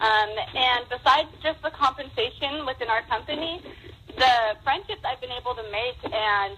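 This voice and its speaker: A woman's high pitch and lively intonation at a moderate pace, over noticeable background noise. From Nevada, US (Las Vegas). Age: 20s. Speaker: stay-at-home mom, network marketer. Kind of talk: testimony.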